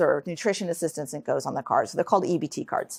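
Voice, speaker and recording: Recorded dry and close with no echo, a woman speaks with a New York State accent and ordinary pitch variation. The recording is very clean, with a silent background. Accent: American, New York State. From Troy, New York. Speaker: author and researcher. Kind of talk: lecture. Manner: fast; halting.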